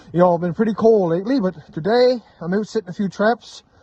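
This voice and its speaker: Speaking loudly and at a fairly quick pace, a man talks with a Newfoundland accent. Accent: Newfoundland and Labrador English. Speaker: trapper, outdoor vlogger. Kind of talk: casual vlog narration. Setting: outdoors, cold trapline. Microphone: phone recording, weak in cold.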